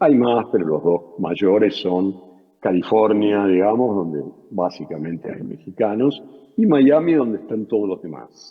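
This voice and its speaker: Using an Argentine accent, a man talks at a fairly slow pace. His voice is fairly low, with lively intonation. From Argentina. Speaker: journalist and writer. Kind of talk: interview. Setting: video call. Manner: hesitant, many fillers.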